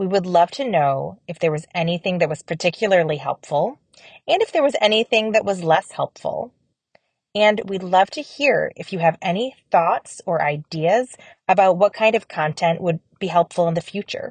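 A calm, soothing, somewhat breathy voice with ordinary pitch variation, dry and close with no echo. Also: woman, medium pitch for a woman. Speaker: audio guide creator. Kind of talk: blessing prayer, gently read psalm and benediction for a semester-end wrap-up. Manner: slow, calm, soothing, reverent and warm with unhurried pauses; earnest, gracious, and appreciative when asking for feedback.

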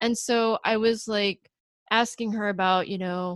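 In a very clean, dry, close recording with a silent background and no echo, a woman speaks in an unremarkable speaking voice at a fairly high pitch with ordinary pitch variation. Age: 30s. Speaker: picture book illustrator and podcast co-host. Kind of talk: casual chat.

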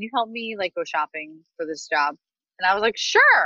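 A woman speaks with an American accent and lively intonation. Her pace is moderate. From US small town. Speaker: personal stylist. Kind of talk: interview. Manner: animated.

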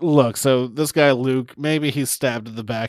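Pitch for this man sits in the medium range. His pitch variation is ordinary. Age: 30s. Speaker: podcast co-host. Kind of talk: casual chat. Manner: animated.

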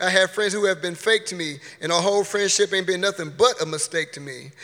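A man with a high pitch and a bright, sharp tone talks at a fairly quick pace. His voice is raised and projected. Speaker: poet performing at open mic. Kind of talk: spoken word poetry performance. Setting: stage with audience.

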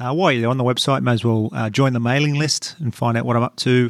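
The man has an Australian accent and a medium pitch with fairly even intonation. His sound is dry and close, with no echo. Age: 30s. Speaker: comedian and podcast host. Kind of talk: read ad; casual interview. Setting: cardiologist's office.

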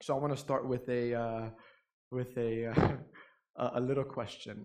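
With a New York accent, a man talks at a fairly slow pace. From New York City. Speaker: pastor. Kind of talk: sermon. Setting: church.

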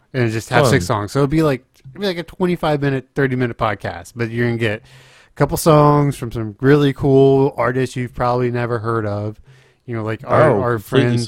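A man speaks in a plain, everyday voice at a medium pitch and moderate pace, with ordinary pitch variation. The sound is dry and close with no echo, and his loudness swings widely. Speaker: podcast host; streamer. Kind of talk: casual.

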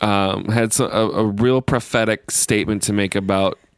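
At a moderate pace, a man speaks with a plain, everyday voice and fairly even intonation. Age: 40s. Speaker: podcast co-host, military member. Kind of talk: casual chat.

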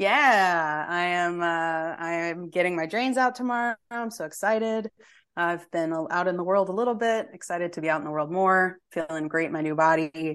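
A woman with an unremarkable speaking voice talks at a fairly low pitch with ordinary pitch variation, over a quiet background. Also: moderate pace. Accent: American. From Texas. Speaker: podcast guest. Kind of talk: casual chat.

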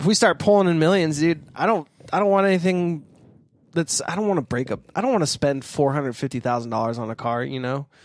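Over a very clean recording with a silent background, a man speaks at a very fast pace. His fairly high voice has lively intonation. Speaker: podcast host. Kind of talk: casual chat. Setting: studio, across a table.

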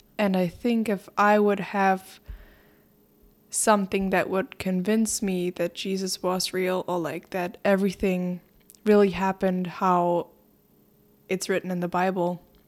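A woman speaks at a fairly slow pace, her medium pitch held in a flat monotone with long, frequent pauses. The recording is very clean, with a silent background. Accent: German. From Germany, Berlin. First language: German. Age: young. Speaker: exchange student. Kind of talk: casual chat.

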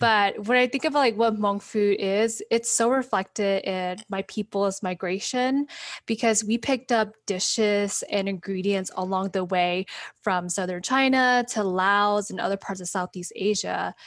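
On a very clean recording with a silent background, a woman speaks at a medium pitch in an unremarkable speaking voice. Her intonation is fairly even and her pace fairly slow. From US Midwest, Wisconsin. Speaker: educator and community organizer. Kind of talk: casual interview.

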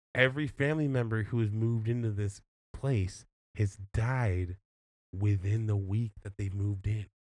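In a very clean recording with a silent background, a man speaks at a moderate pace in a normal speaking voice, fairly low in pitch, with fairly even intonation. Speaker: podcast host. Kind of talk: casual chat. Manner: joking.

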